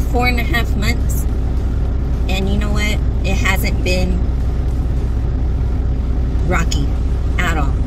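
Amid loud background noise, a woman talks at a fairly slow pace with long, frequent pauses. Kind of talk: casual vlog chat. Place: car. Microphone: phone near.

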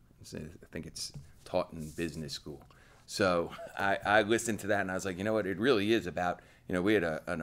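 This man has a very deep, low voice and ordinary pitch variation. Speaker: head coach. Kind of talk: interview answer. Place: meeting room.

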